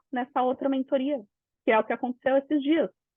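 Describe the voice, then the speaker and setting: This is a woman speaking. Her pitch is high. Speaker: business mentor. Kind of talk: live webinar talk. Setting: online live session. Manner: animated.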